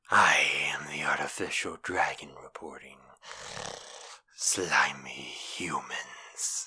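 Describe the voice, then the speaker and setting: In a put-on character voice, someone whispers at a very slow pace, leaving long, frequent pauses. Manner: menacing, mocking.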